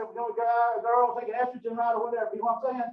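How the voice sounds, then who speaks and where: A man with a Southern US accent talks at an extremely high pitch. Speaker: professor. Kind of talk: lecture. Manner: fast; animated.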